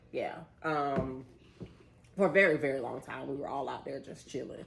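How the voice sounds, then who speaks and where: A woman with an American accent speaks at a moderate pace in an animated tone, with big swings in loudness. Her voice is very deep and low, with ordinary pitch variation, and there is audible room echo. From South Florida (West Palm Beach), later Orlando. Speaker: vlogger. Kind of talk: casual chat. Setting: home, eating dinner on camera.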